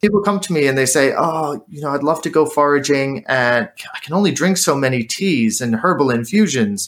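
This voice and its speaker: Fast and almost without pauses, a man with a plain, everyday voice speaks in an American accent at a fairly high pitch, with lively intonation at a fairly quick pace. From United States. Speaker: drinks maker and former chef. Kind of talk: interview.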